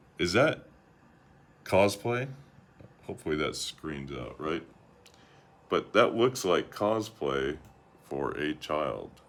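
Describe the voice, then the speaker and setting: A man with vocal fry at a fairly low pitch, very slow with long, frequent pauses. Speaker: YouTuber commentator. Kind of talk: commentary vlog with screen share. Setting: screen-share recording. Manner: monotone.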